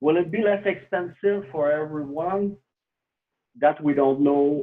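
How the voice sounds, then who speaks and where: The speaker has a French Canadian accent. The pace is fairly slow. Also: man, fairly high pitch for a man, ordinary pitch variation. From Quebec, Canada. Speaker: cryptocurrency developer. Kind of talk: interview.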